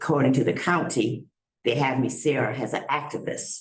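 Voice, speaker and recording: At a moderate pace, a woman speaks in a very deep, low pitch that sounds somewhat breathy. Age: 70s. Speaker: community activist speaking at public comment. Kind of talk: public comment at town board meeting. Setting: town board meeting at podium. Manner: passionate, conversational.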